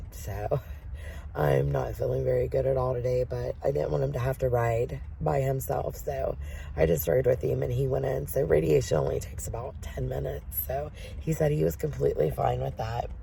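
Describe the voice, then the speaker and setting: Over noticeable background noise and audible room echo, a woman with a very deep, low pitch talks at a fairly quick pace with very wide pitch swings. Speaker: vlogger caring for husband with cancer. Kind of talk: casual vlog talk to camera. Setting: in a van.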